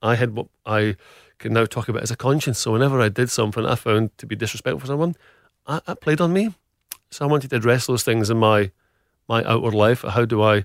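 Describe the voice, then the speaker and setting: In a Scottish accent, a man with a medium pitch talks at a very fast pace with ordinary pitch variation, the recording very clean with a silent background and a dry, close sound with no echo. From Scotland, Glasgow. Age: middle-aged. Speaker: food business founder. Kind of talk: interview.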